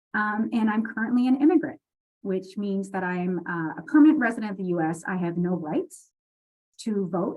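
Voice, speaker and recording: Somewhat breathy, a woman talks at a fairly quick pace. Her pitch swings very widely. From Quebec, Canada. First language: French. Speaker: library dean and leadership speaker. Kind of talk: personal leadership talk.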